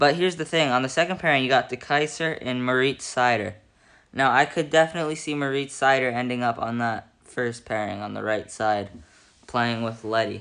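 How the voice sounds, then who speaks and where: Mumbled speech comes at a fairly quick pace against a quiet background. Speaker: hockey commentator. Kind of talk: casual talk to camera. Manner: mumbling.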